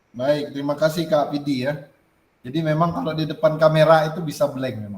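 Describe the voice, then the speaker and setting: The speaker talks at a fairly quick pace with ordinary pitch variation. The voice is somewhat breathy. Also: man, fairly high pitch for a man. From Kalimantan, Indonesia. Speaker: teacher training facilitator. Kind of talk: online group reflection session.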